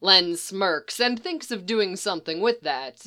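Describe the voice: Someone reads the words aloud plainly. The intonation rises and falls in a lively way.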